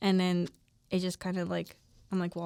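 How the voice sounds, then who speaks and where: A woman speaks with a Spanish accent at a medium pitch. The recording is very clean, with a silent background. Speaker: podcast co-host, college student. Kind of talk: casual chat.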